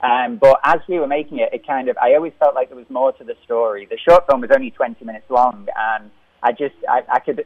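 Speaking fairly quickly, a man talks with a Liverpool accent. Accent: Liverpool (Scouse). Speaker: film director. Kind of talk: interview. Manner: halting.

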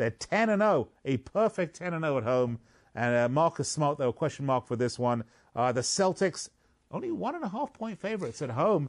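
Against a quiet background, the speaker uses a playful tone at a moderate pace with very wide pitch swings. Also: man. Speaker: sports betting radio host. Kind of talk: sports radio talk. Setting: radio studio. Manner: jokey, playful.

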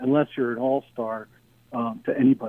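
With an American accent, a man speaks in an ordinary speaking voice at medium pitch and moderate pace. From Philadelphia, US. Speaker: sports radio caller. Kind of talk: casual call-in chat. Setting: phone call.

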